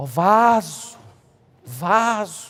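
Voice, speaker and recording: A whiny, nasal put-on character voice sits at a fairly high pitch. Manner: whiny, falsely humble.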